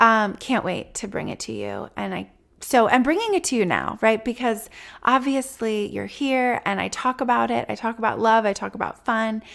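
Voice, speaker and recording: At a moderate pace, a woman talks on a very clean recording with a silent background. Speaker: podcast host, relationship coach. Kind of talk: solo podcast monologue. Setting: office.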